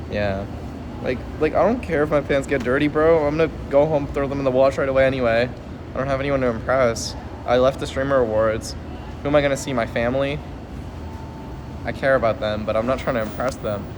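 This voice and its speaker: A man at medium pitch talks at a very fast pace, with ordinary pitch variation and long, frequent pauses. Noticeable background noise is present. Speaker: streamer. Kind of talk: casual chat. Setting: airport.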